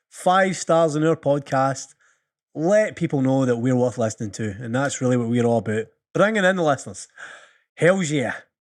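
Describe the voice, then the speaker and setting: On a very clean recording with a silent background, a man with a Scottish accent speaks at a fairly high pitch with very wide pitch swings. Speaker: podcast host. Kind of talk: casual chat.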